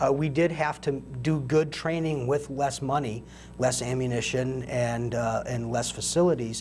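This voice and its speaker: Moderately paced, a man with an ordinary speaking voice talks at medium pitch with ordinary pitch variation. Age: 40s. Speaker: military veteran. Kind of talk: interview.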